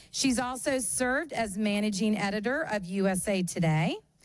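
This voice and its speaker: Lively intonation from a woman on a very clean recording with a silent background. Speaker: journalism program chair introducing a guest. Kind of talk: event introduction. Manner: loud.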